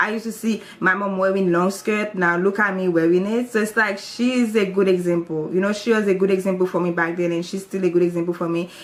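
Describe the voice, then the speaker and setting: Speaking in a Haitian accent, a woman uses a medium pitch, fairly even intonation, and a fairly quick pace. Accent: Haitian Creole-accented English. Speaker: YouTuber. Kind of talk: testimony. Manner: casual, hesitant.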